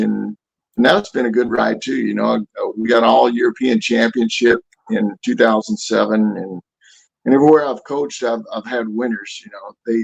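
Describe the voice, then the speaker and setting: A man at a moderate pace, in a dry, close sound with no echo. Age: 60s. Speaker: Army veteran and boxing coach. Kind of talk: casual chat.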